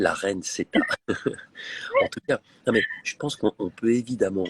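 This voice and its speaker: The sound is dry and close, without any echo. A man is talking at a moderate pace. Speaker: reality TV presenter hosting a live. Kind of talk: live-stream interview. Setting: airport lounge. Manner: speaking quietly.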